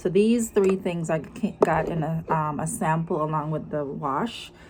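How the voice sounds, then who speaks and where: A woman speaks at a fairly slow pace with a strong Jamaican accent. Her pitch is fairly low, with ordinary variation. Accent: heavy Jamaican. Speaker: lifestyle vlogger. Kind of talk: casual vlog talk to camera.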